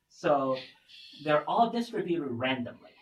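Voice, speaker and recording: A man talks at a fairly slow pace in a fairly high pitch, somewhat breathy. His intonation is lively, and room echo is audible. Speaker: physics researcher. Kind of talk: lecture.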